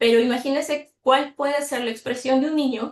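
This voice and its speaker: Her pitch is high, and this woman's intonation stays fairly even. She talks at a moderate pace. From Mexico. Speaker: mathematics teacher educator. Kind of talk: online workshop presentation.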